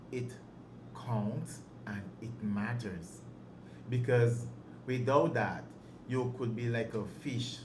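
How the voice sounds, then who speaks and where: Somewhat breathy and fairly even in intonation, the voice moves at a very slow pace with long, frequent pauses. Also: man, medium pitch for a man. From Dominica. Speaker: handyman and tradesman. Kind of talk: interview answer.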